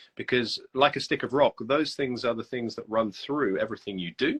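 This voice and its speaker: Speaking at a fairly quick pace in a British accent, a man uses lively intonation. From UK. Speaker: copywriter. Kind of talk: casual interview. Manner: hesitant, many fillers.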